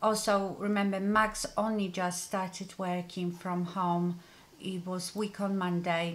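The woman talks at a very slow pace. Her intonation stays fairly even. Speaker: beauty vlogger. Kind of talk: casual vlog chat. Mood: serious, somewhat subdued. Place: home room.

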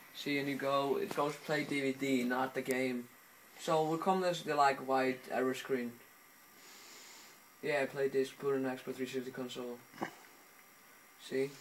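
With an Icelandic accent, a man speaks at a fairly slow pace in a flat, monotone way, leaving long, frequent pauses. Light background noise can be heard. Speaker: home video tutorial maker. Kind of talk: casual tutorial talk over gameplay footage. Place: home room. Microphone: phone near.

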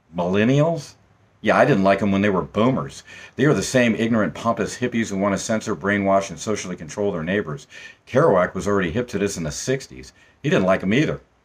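Speaking at a very fast pace, a man uses lively intonation at a fairly low pitch. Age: old. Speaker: former punk. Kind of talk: spoken personal monologue. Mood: wry, opinionated. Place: home room. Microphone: phone near.

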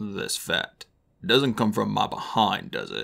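Putting on a raspy character voice, a man speaks at a fairly slow pace. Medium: read story.

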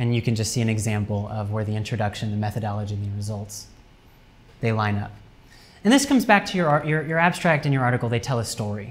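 A man talks at a very fast pace, his voice somewhat breathy and his pitch varying in an ordinary way. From US Midwest, Cincinnati, Ohio; Ohio. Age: 20s. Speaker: academic writing lecturer. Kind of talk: lecture. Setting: university classroom seminar with students. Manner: casual, with many fillers. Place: classroom. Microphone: camera far.

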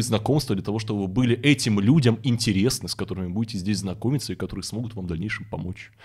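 A man speaks with a somewhat breathy voice and ordinary pitch variation. The background is quiet. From Russian Far East (Vladivostok). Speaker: event host and forum founder; event host. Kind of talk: casual interview chat. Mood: relaxed, reflective storytelling. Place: studio. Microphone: studio mic.

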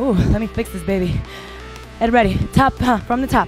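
With clear music in the background, a woman speaks at a fairly slow pace in a dry sound with no echo. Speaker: kickboxing instructor. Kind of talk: workout instruction cues. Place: gym.

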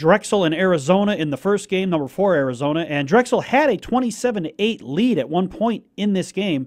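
Against a quiet background, a man talks at a high pitch with lively intonation. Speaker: radio announcer giving scores. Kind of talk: news and score reading.

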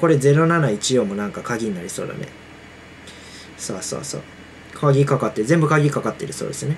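A man's voice comes through over light background noise. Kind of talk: casual game commentary. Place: home room. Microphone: earbuds.

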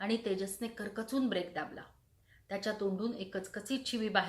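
The recording offers a natural reading voice. That voice is all it holds.

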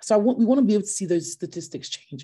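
Lively intonation marks a woman's dark, mellow tone against a quiet background. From Nigeria and UK. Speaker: entrepreneur, company founder. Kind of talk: online talk. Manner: hesitant, many fillers. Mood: passionate, earnest. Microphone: video call.

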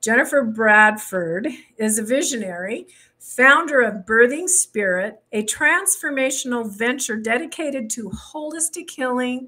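With lively intonation, a woman speaks in big swings of loudness. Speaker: show host. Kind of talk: podcast host introduction. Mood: warm, enthusiastic. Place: home room. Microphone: studio mic.

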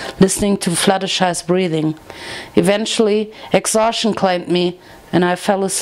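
This is a natural reading voice delivered with fairly even intonation.

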